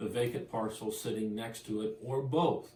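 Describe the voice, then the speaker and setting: A plain, everyday voice from a man at a medium pitch and a moderate pace. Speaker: auctioneer and real estate agent. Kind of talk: real estate auction promo, talking to camera.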